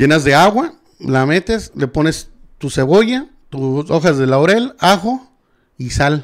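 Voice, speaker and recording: Speaking at a very slow pace, a man uses lively intonation. The background is quiet. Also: fairly high pitch for a man. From Mexico. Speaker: podcast guest or host. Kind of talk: casual chat. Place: studio. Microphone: studio mic.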